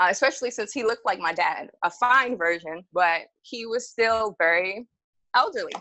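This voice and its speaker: A woman with a New York accent, fairly high-pitched, lively intonation, moderate pace. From Jamaica, Queens, New York City. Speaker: storytelling podcast guest. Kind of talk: casual storytelling. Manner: animated.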